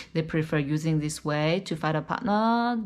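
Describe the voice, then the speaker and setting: A woman's very deep, low voice with a Chinese accent, lively intonation and a moderate pace, in a very clean recording with a silent background. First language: Mandarin. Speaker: YouTuber giving dating advice. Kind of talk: casual vlog talk. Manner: many fillers and self-corrections.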